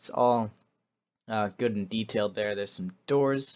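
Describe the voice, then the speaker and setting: Over a quiet background, a man speaks at a medium pitch with ordinary pitch variation. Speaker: gaming video creator. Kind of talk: gameplay voiceover commentary. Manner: fast; casual with many fillers.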